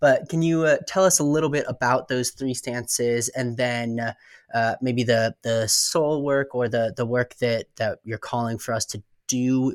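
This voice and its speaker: Here is an ordinary speaking voice: a man at a medium pitch. His pace is moderate and his intonation fairly even. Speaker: podcast co-host. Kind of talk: interview.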